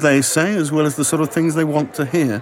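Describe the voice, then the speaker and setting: A man's fairly high voice moves at a fairly quick pace with fairly even intonation amid noticeable background noise. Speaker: actor. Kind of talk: casual chat.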